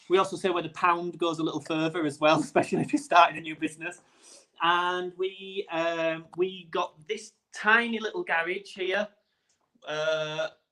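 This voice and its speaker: A man talks in a Yorkshire accent with a high pitch. His tone is bright and sharp, and his intonation fairly even. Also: moderate pace. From Yorkshire, northern England. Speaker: gin distiller and brand founder. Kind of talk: casual interview.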